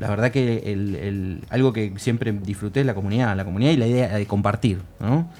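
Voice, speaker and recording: Speaking at a fairly quick pace, a man uses an unremarkable speaking voice with a fairly low pitch and ordinary pitch variation. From Argentina, Buenos Aires northern suburbs. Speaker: government video game coordinator and lecturer. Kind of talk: casual chat.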